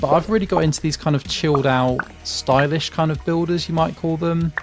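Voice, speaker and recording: A British accent over music in the background. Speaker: gaming youtuber. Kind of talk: gameplay commentary. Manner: casual, with frequent fillers.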